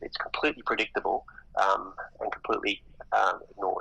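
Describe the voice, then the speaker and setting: At a moderate pace, a man speaks with an Australian accent. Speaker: economist. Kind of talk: interview. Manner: halting.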